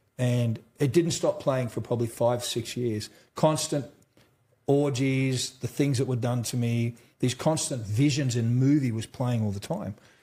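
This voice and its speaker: A man with an Australian accent speaks at a fairly slow pace and medium pitch, his intonation fairly even. His voice is somewhat breathy, with a dark, mellow tone. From central Australia. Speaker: trauma survivor and mental health advocate. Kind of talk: interview. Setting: conference. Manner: casual.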